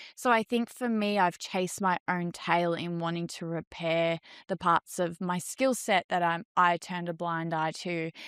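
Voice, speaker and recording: A woman at a fairly low pitch and moderate pace, in a very clean recording with a silent background and a dry, close sound with no echo. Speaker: salon owner and hairdresser. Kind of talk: interview. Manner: loud.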